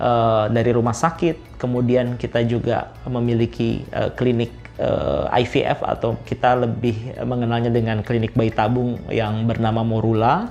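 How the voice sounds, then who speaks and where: A man speaks at a fairly slow pace with hardly any pauses, at a medium pitch and with fairly even intonation. His loudness stays very even, and music plays in the background. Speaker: technology executive. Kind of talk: interview testimony. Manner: hesitant, many fillers.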